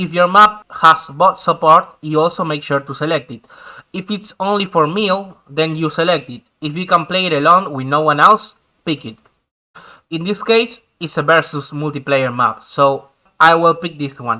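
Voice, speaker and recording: A man's fairly high, bright, sharp voice in a Spanish accent at a moderate pace, with ordinary pitch variation and big swings in loudness. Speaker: gaming YouTuber. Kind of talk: tutorial.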